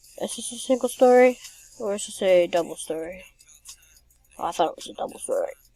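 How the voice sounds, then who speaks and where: Over music in the background, a woman talks at a very fast pace with long, frequent pauses and big swings in loudness. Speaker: gaming youtuber. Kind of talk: gameplay commentary. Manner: slurred.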